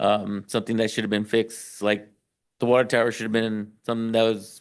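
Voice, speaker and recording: The room behind him is quiet. His pitch sits at a medium level for a man. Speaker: city public works official. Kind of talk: council meeting discussion. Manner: hesitant, many fillers.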